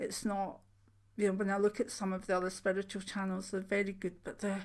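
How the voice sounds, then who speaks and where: The intonation stays flat and monotone. The pace runs fairly quick. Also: woman, medium pitch for a woman. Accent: Scottish. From Scotland. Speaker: spiritual channel host, clairvoyant. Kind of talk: casual chat. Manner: informal, hesitant with fillers.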